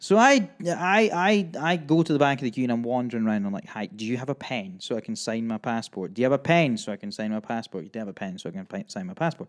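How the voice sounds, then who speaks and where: A Scottish accent comes through in an animated tone with very wide pitch swings. The pace is very fast, with hardly any pauses. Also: man, medium pitch for a man. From Scotland. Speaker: podcast host. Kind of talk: casual chat. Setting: studio.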